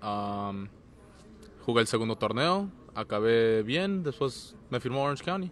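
A man talks at a fairly slow pace, leaving long, frequent pauses. His pitch swings very widely over light background noise. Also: medium pitch for a man, dry sound with no echo. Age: 20s. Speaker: professional soccer goalkeeper. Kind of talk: interview. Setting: stadium, team presentation event. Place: stadium. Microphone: handheld.

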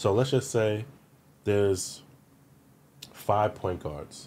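Over light background noise, a man with a New York accent speaks very slowly in a dark, mellow tone with lively intonation. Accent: New York City. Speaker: former pro basketball player; podcast guest. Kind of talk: casual interview. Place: studio. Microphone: studio mic.

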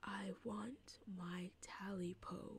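A woman's put-on character voice at medium pitch. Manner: eerie, demanding.

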